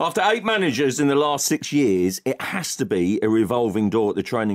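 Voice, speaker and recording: A plain, everyday voice comes through with lively intonation and a fairly quick pace. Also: man. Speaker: football journalist panellist. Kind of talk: comedic sports panel chat. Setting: radio studio. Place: studio.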